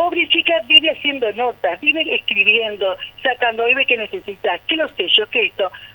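A woman's high-pitched voice with very wide pitch swings, over noticeable background noise. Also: moderate pace. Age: 60s. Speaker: neighbourhood association president. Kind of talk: radio phone interview. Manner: animated.

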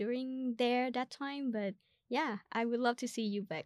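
In a dry, close sound with no echo, a woman with a Vietnamese accent talks at a moderate pace with ordinary pitch variation. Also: very clean recording, silent background. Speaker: podcast host and student. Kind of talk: casual interview chat.

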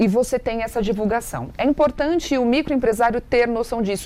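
Her voice is a plain, everyday voice, fairly high in pitch, moving at a moderate pace with lively intonation. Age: 30s. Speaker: TV presenter and digital influencer. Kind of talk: interview, giving marketing advice.

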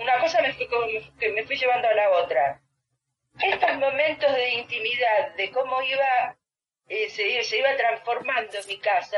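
Moderately paced female speech, high-pitched and lively in intonation. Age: 60s. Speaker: psychologist. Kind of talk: interview. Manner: halting.

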